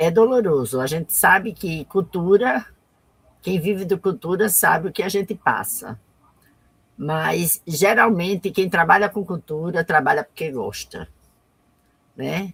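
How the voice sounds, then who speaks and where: Pausing long and often, a woman speaks at a fairly slow pace in a fairly low, somewhat breathy voice. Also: lively intonation. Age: 60s. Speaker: artisan and cultural activist. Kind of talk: live interview. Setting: online live stream.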